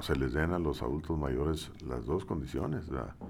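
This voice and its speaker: Vocal fry colors this man's very deep, low voice. Its pitch shows ordinary variation. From Mexico, Saltillo. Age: 60s. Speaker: engineer and former university head. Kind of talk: interview.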